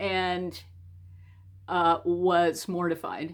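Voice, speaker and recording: Vocal fry runs through a woman's fairly low voice. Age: 60s. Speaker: storyteller. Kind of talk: personal story told to camera. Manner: casual, conversational.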